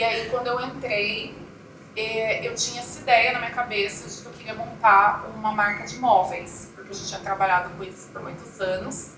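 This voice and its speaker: Amid noticeable background noise and audible room echo, a woman speaks at a moderate pace with a fairly high pitch, fairly even intonation and big swings in loudness. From Brazil, interior of Mato Grosso do Sul (Coxim). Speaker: chocolate entrepreneur. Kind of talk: interview.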